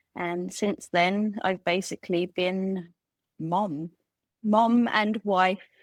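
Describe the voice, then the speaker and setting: A woman with an English accent speaks at a medium pitch, her intonation fairly even. The sound is dry and close with no echo, on a very clean recording with a silent background. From England. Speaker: former geneticist, homemaker. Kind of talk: casual interview.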